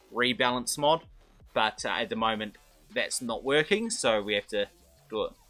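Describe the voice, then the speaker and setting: Over background music, a man speaks at a moderate pace with long, frequent pauses. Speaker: game streamer. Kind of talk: live stream commentary. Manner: halting, many fillers and restarts.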